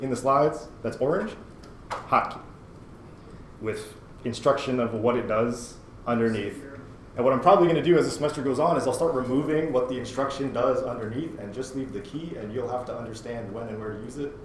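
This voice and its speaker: Here a man speaks at a medium pitch and a fairly quick pace, with ordinary pitch variation. Noticeable background noise and audible room echo come through. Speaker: university instructor. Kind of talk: lecture. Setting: classroom. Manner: fast; casual.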